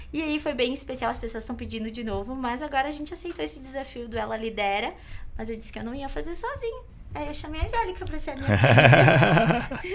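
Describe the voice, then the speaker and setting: A woman speaks at a very fast pace. Audible room echo and noticeable background noise are present. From Caxias do Sul, Rio Grande do Sul, Brazil. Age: 30s. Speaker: entrepreneur and event organizer. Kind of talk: podcast interview.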